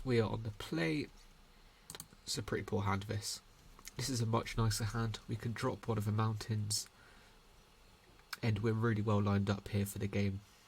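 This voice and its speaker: A quiet, somewhat breathy man speaks at a fairly low pitch with fairly even intonation. He leaves long, frequent pauses. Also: moderate pace. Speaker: gaming content creator. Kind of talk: gameplay commentary. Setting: at home late at night. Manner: speaking quietly; hesitant with fillers.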